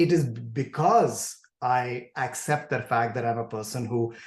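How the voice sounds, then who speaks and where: This man's voice is somewhat breathy and sits at a medium pitch. He speaks at a moderate pace against a quiet background. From India. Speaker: professor of communication disorders. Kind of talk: podcast interview. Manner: halting, with repetitions and blocks.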